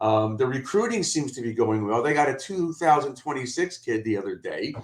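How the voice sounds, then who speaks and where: A man's speech at a moderate pace. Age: 60s. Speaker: college football commentator, attorney. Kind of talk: podcast debate.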